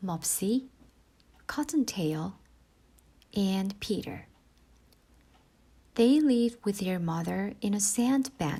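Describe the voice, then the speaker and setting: The speaker is soft-spoken, moving at a very slow pace with long, frequent pauses. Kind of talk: bedtime story reading. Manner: slow, soft; quiet.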